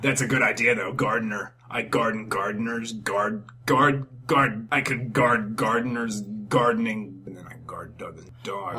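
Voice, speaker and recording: Raspy put-on character voice from a man, medium in pitch and moderate in pace, over light background noise. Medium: solo performance. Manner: deadpan, hesitant, rambling.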